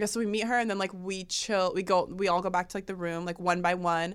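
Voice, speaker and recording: The recording is very clean and the background silent. A woman talks at a fairly brisk tempo. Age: 20s. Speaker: model and podcast host. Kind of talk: casual chat. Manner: animated.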